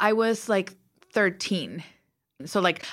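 A woman speaks with a slight Mexican accent in a very clean recording with a silent background. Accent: light Mexican Spanish accent in English. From Mexico. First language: Spanish. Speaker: TV writer and producer. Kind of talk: interview. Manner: animated.

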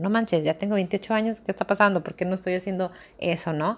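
In a very clean recording with a silent background, a woman of medium pitch talks at a fairly quick pace with fairly even intonation. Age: 20s. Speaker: podcaster. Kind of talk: casual monologue.

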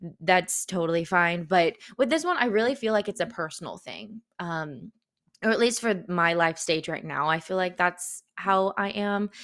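An ordinary speaking voice from a woman at medium pitch and moderate pace, ordinary pitch variation, on a very clean recording with a silent background. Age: 20s. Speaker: podcast host. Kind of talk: solo podcast monologue. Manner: casual, conversational.

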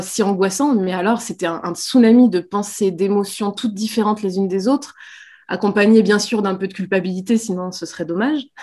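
A woman's medium-pitched voice with a dark, mellow tone, at a moderate pace with ordinary pitch variation, in a very clean recording with a silent background. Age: 30s. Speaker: pregnant mother, social media creator. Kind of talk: interview. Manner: hesitant, many fillers.

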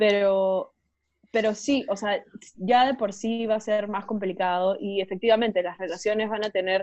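A woman talks at a medium pitch in an ordinary speaking voice. Her intonation is fairly even, and her pace is moderate. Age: 20s. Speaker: podcast co-host. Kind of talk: casual chat.

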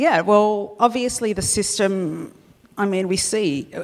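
An Australian accent carries this voice. The speaker is a woman. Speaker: columnist. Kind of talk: live panel discussion. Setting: stage with live audience.

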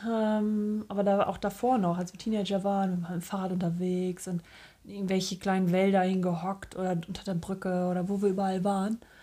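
A woman's dark, mellow tone at a medium pitch, with monotone, flat intonation and a fairly quick pace. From northern Germany. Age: 30s. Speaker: podcast co-host. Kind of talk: casual chat.

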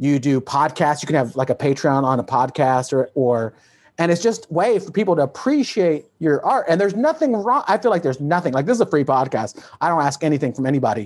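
An unremarkable speaking voice talks at a fairly quick pace. Its intonation is lively. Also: man. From Texas. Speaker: comedian and podcast host. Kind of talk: casual interview chat. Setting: video call.

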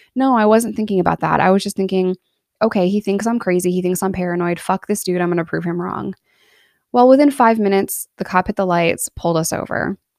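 A woman with an American accent at a very fast pace, ordinary pitch variation, a very clean recording with a silent background, and a dry, close sound with no echo. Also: medium pitch for a woman. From upstate New York (Binghamton area). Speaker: podcast host and YouTuber recounting prison experience. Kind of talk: personal storytelling monologue. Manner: candid, conversational with laughs.

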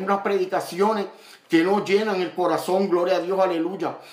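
A man speaks in a high pitch with monotone, flat intonation at a moderate pace. Audible room echo and noticeable background noise fill the recording. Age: 50s. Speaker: evangelist preacher. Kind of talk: sermon.

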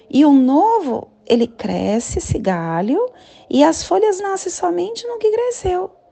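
At a fairly slow pace, a woman speaks in a high pitch with very wide pitch swings, with noticeable background noise behind her. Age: 40s. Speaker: spiritual guide. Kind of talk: daily spiritual talk.

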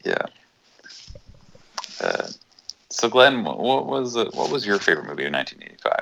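This man is soft-spoken and talks at a fairly quick pace. He leaves long, frequent pauses. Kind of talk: casual chat.

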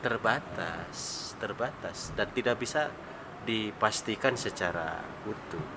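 At a very slow pace, a man with a fairly low pitch and ordinary pitch variation speaks over noticeable background noise. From Tasikmalaya, West Java, Indonesia. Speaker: regional legislator. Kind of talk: podcast interview.

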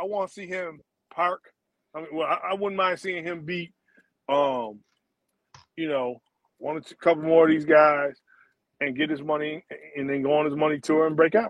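The speaker moves at a moderate pace, with big swings in loudness and long, frequent pauses. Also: man, fairly high pitch for a man. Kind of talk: comedic riffing, joking bit. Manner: animated, joking.

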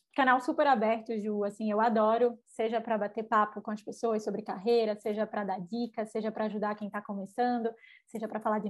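Against a quiet background, a woman with a northeastern Brazilian accent speaks fairly quickly in a fairly high, monotone, flat voice. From Brazil, Recife. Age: 20s. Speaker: edtech sales executive. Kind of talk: interview.

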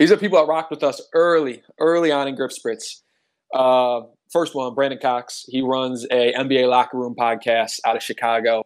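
Using a normal speaking voice with an American accent, a man talks at a moderate pace with ordinary pitch variation on a very clean recording with a silent background. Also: medium pitch for a man. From Cleveland, Ohio. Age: 20s. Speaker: entrepreneur. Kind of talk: casual chat.

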